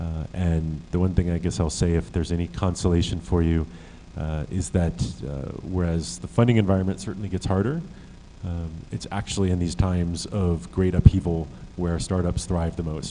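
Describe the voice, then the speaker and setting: A man speaks at a moderate pace in a very deep, low pitch with a dark, mellow tone and ordinary pitch variation. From USA. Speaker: startup accelerator director. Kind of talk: conference panel talk. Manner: hesitant, many fillers.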